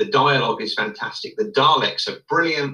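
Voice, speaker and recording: Music runs in the background. Over it, a man talks at a moderate speed. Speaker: guest co-commentator. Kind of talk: casual chat.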